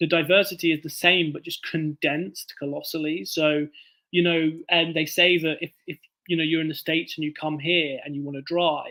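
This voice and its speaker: A man with a southern English accent speaks at a moderate pace and a fairly high pitch, his tone bright and sharp and his intonation fairly even. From southern England, Bournemouth. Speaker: author. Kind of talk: casual chat.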